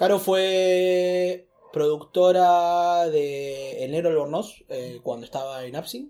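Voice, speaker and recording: Very slowly, a man speaks in a dark, mellow tone with ordinary pitch variation. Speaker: stand-up comedian. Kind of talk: casual chat. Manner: loud, shouting; animated.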